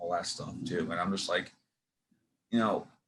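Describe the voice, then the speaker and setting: Bright and sharp in tone, a man talks with a New York accent. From New York City. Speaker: podcast host and actor. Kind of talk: casual interview chat. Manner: halting, many fillers and restarts.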